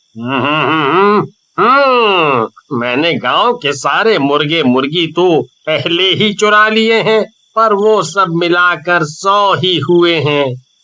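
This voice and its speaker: A man puts on a high-pitched character voice and cackles. He speaks at a very slow pace. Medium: read story. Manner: scheming, gleeful cackling.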